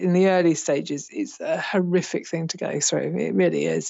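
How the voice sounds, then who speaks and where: A woman talks at a moderate pace with vocal fry. Her pitch sits fairly low. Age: 50s. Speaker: retired nurse turned teacher, estranged mother. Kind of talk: personal testimony interview.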